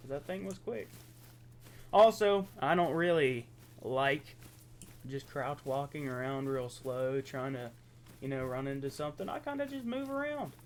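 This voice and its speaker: A man with an American accent speaks at a moderate pace in a fairly high pitch. His pitch variation is ordinary, and he leaves long, frequent pauses. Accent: Appalachian, redneck-sounding. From southeastern Ohio, Appalachia. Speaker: gaming youtuber. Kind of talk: casual gameplay commentary. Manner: casual, conversational.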